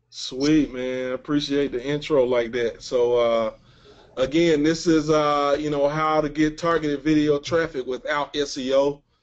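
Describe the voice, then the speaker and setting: With a Mississippi accent, a man talks at a fairly slow pace in a fairly high pitch, his intonation monotone and flat. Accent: Southern US (Mississippi). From US South, Mississippi. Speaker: webinar presenter, online marketer. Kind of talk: webinar presentation. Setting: webinar call. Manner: mumbling.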